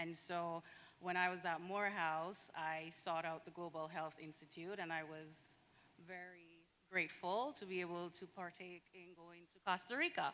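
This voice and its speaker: With a Caribbean accent, this voice has a bright, sharp tone, monotone intonation, big jumps in loudness and a moderate pace. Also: woman. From Saint Vincent and the Grenadines. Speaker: physician and public health resident. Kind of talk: panel discussion.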